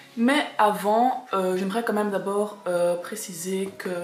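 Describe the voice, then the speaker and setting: A woman speaks at a very slow pace and medium pitch. Noticeable background noise is audible. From Belgium. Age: 20s. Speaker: kindergarten teacher. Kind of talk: casual talk to camera.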